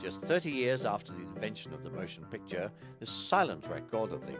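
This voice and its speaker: Someone talks at a moderate pace. Behind the voice, music is playing. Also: man. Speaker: railway film historian. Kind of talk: documentary introduction and narration.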